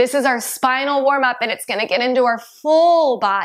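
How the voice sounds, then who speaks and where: Against a quiet background, a woman speaks at a high pitch with ordinary pitch variation. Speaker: yoga instructor. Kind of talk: guided exercise instruction. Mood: calm, encouraging. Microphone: lapel.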